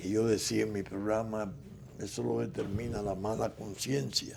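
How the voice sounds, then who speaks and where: A man with a fairly low pitch is heard in a space with audible room echo. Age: 80s+. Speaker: political figure and commentator. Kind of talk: interview.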